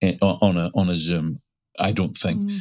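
In a Northern Irish accent, a man speaks at a moderate pace with a very deep, low pitch. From Northern Ireland, Glens of Antrim. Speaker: storyteller and folk singer. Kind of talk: interview. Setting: remote call.

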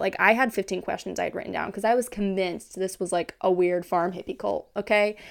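With an American accent, the speaker keeps a fairly quick pace while noticeable background noise carries on behind. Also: woman. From Kansas. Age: 20s. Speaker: podcast host. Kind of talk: casual monologue.

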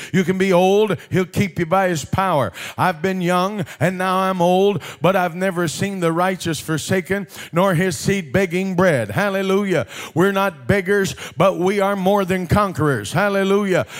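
At a moderate pace, a man with a high pitch speaks in an animated tone while keeping his loudness very even. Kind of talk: sermon. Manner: animated, call-and-response preaching with rhythmic repetition of Hallelujah; urgent, exhorting the congregation to respond.

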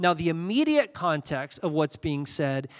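A man with a normal speaking voice talks in a fairly high pitch at a moderate pace on a very clean recording, background silent. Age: 40s. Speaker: pastor. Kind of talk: sermon. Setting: church.

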